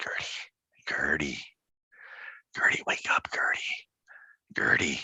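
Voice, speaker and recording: A raspy, put-on character voice at a fairly slow pace, broken by long, frequent pauses. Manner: calling, waking someone.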